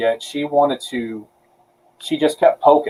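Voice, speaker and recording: A man speaks with a fairly high pitch. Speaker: podcast co-host. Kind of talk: casual chat. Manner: animated.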